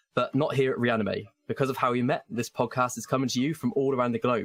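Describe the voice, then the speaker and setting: This man talks at a very fast pace with a medium pitch and an English accent. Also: dry, close sound with no echo. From England. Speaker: podcast host, performing arts student. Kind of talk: scripted podcast introduction. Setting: online call with remote co-hosts.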